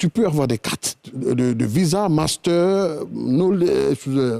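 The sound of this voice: Delivered at a slow pace, the dark, mellow tone carries lively intonation and vocal fry in a dry, close sound with no echo.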